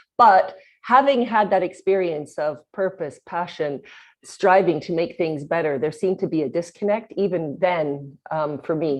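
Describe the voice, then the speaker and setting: A plain, everyday voice, a woman's, fairly low in pitch, with a Canadian accent, lively intonation and a moderate pace, over a quiet background. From Canada, Winnipeg, Manitoba. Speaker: company founder and CEO. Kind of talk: podcast interview.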